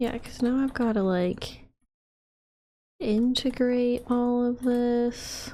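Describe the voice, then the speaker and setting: A woman speaks quietly. Her pitch is high. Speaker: gaming youtuber. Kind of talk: casual gameplay commentary. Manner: quiet, focused; animated.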